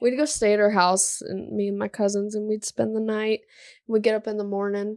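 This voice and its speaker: This woman speaks at a medium pitch in a monotone, flat intonation. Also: fairly quick pace. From born in Alabama, moved to Iowa at nine. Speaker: podcast co-host. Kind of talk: casual chat.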